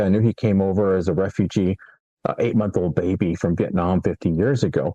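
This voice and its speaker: A man's dark, mellow tone at a fairly quick pace. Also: dry, close sound with no echo. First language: Spanish. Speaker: friend of a detained immigrant, entrepreneur mentor. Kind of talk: interview. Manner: halting, with repeated words.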